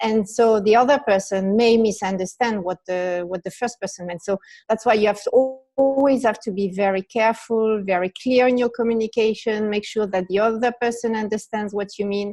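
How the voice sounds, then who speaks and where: With a French accent and a dark, mellow tone, a woman speaks at a fairly quick pace with hardly any pauses, her pitch fairly high and her intonation fairly even. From France. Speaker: business leader. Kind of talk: interview.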